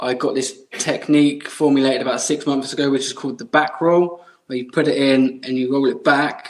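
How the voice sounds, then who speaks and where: Man with an English accent, fairly high-pitched and fairly quick, in a monotone, flat intonation. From England. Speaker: mustache product maker. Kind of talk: podcast interview answer.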